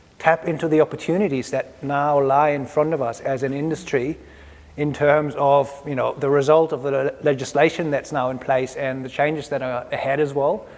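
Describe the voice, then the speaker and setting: With a German accent, a man at a fairly high pitch speaks at a moderate pace in a monotone, flat delivery. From Germany. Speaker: electrical products specialist. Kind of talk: industry presentation.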